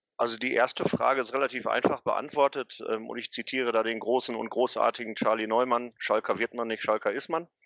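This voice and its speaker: Barely pausing, a man speaks at a fairly quick pace, and the sound is dry and close with no echo. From Ruhr area, Gelsenkirchen. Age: 40s. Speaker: football historian and city tour guide. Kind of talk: interview.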